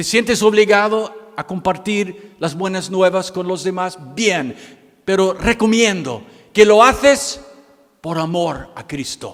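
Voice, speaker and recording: A high-pitched man with an American accent, at a very slow pace with ordinary pitch variation. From United States. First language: English (speaking Spanish). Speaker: missionary pastor. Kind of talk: sermon. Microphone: microphone problems.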